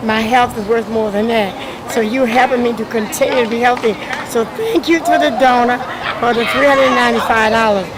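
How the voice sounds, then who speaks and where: Crowd noise in the background and audible room echo accompany a woman speaking at a moderate pace. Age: 70s. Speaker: community food program participant. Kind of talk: on-camera testimonial interview. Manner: halting, with fillers.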